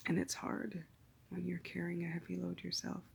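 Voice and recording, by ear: Vocal fry and monotone, flat intonation at a moderate pace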